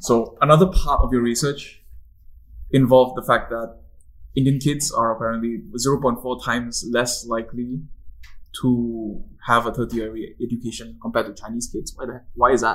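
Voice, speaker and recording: An unremarkable speaking voice moves at a moderate pace, its intonation fairly even while the loudness swings widely. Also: man, medium pitch for a man. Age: 20s. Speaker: podcast host. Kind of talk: casual interview.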